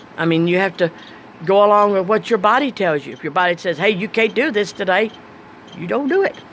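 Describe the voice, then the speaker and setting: Fairly quick speech from a woman with ordinary pitch variation, over noticeable background noise. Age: 60s. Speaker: vlogger. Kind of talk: casual monologue. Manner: plain spoken.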